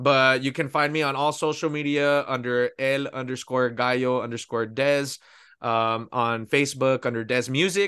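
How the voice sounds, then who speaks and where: A man's bright, sharp voice at medium pitch, with fairly even intonation and very even loudness. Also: moderate pace, quiet background. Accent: American. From Pico Rivera, East Los Angeles area, California. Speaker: singer. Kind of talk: interview.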